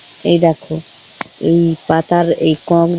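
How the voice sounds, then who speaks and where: A woman's fairly low voice comes through dry and close with no echo, over noticeable background noise. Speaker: village lifestyle vlogger. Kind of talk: casual vlog narration.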